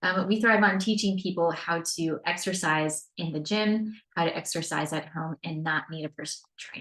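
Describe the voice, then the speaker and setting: A woman with an unremarkable speaking voice and a fairly low pitch talks at a moderate pace, her intonation fairly even but her loudness swinging widely. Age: 40s. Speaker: fitness coach. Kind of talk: webinar presentation. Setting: screen-share webinar recording.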